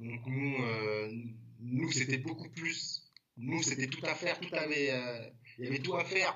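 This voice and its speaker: A man's fairly high voice, with ordinary pitch variation, a fairly slow pace and long, frequent pauses. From Paris, 11th arrondissement. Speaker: graffiti artist. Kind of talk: casual chat. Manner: halting.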